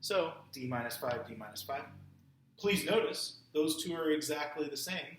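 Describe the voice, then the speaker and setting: A man's fairly high voice, with ordinary pitch variation, carries audible room echo. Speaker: math teacher. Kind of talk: tutorial.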